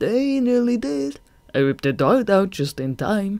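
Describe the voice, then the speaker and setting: In a put-on character voice at a middle pitch, the speaker moves at a moderate pace with very wide pitch swings. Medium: read story. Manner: mocking, menacing.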